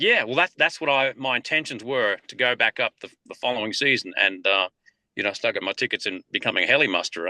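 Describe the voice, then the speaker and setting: Very fast speech in an Australian accent carries a bright, sharp tone and lively intonation. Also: man, medium pitch for a man, dry, close sound with no echo. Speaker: country singer and cattle rancher. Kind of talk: interview.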